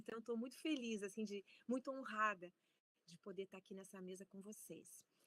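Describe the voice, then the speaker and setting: An ordinary speaking voice at a moderate pace. The sound is dry and close, with no echo. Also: woman. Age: 60s. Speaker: professor. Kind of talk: lecture.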